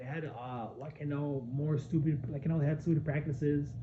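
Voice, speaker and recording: The room echo is audible, and there is noticeable background noise. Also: man. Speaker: gaming commentator. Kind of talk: casual rant vlog. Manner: halting, many repetitions; animated.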